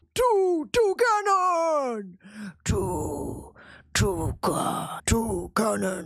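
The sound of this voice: Using a put-on character voice, a woman speaks at a very slow pace with a high pitch and long, frequent pauses.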